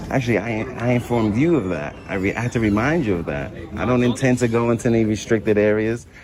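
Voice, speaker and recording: Through noticeable background noise, a man talks very fast at a medium pitch, with hardly any pauses and ordinary pitch variation. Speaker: first amendment auditor. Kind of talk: heated argument. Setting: public lobby of a nursing facility. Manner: calm, confident.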